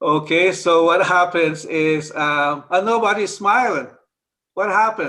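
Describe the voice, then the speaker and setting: In a raised, projected voice, a man speaks at a fairly slow pace with a high pitch and ordinary pitch variation. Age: old. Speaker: speaker on Chinese astrology and health. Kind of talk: informal talk to a group. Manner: halting.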